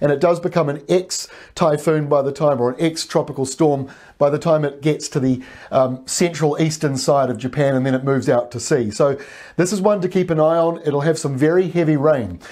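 Over a quiet background, a dark, mellow voice moves at a fairly quick pace. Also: man, fairly high pitch for a man, ordinary pitch variation. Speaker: weather presenter. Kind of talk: weather report, scripted-sounding forecast briefing over maps. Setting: video presentation with weather maps. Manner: steady, informative, conversational with occasional fillers. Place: studio. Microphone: lapel.

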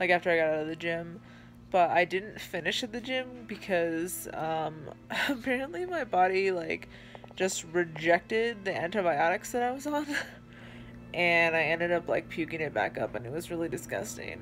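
A woman's fairly low voice with very wide pitch swings over light background noise. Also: moderate pace. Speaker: vlogger. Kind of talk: casual vlog chat. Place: home room. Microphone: phone near.

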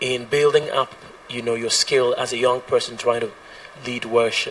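Light noise sits in the background. A man is talking over it. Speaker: audience member asking a question; audience member. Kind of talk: audience question. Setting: live audience meeting. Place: meeting room. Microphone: handheld.

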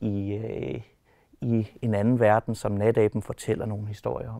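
Quiet background and a dry sound with no echo frame the recording. The man's voice has a dark, mellow tone. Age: 30s. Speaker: animator and personal assistant. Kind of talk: casual interview. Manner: hesitant, many filler words. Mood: relaxed, smiling. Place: hall.

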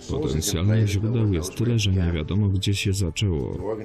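Music in the background behind a man's very deep, low voice, fairly slow in pace, with lively intonation. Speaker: voice-over translator. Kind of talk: film voice-over translation.

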